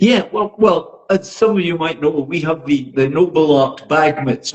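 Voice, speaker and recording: The speaker has a Scottish accent and sounds somewhat breathy. The pace is fairly slow. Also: man. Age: 80s+. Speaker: boxing social media influencer. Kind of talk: podcast interview.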